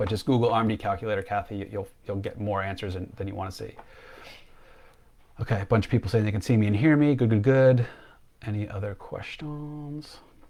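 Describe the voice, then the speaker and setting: A man's fairly low, dark, mellow voice at a fairly quick pace, with ordinary pitch variation and long, frequent pauses. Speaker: financial planner. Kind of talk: live stream Q&A. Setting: Facebook live stream. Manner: fast; animated.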